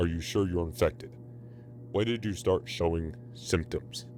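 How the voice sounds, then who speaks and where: Over clear background noise, a man uses a put-on character voice with a very deep, low pitch at a moderate pace. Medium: read story. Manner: gruff.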